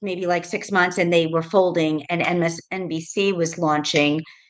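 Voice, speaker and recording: A fairly low-pitched woman with an American accent at a moderate pace, her intonation fairly even. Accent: New York, worked to tone it down. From New York, Rockland County. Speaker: realtor, former TV producer. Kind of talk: interview. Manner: casual, many fillers.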